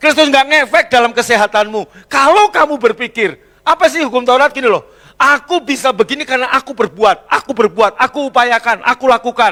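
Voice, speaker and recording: A man's raised, projected voice, extremely high in pitch, bright and sharp, with an animated tone, ordinary pitch variation, and a dry, close sound with no echo. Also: fairly quick pace. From Central Java, Indonesia. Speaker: pastor. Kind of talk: sermon. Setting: church.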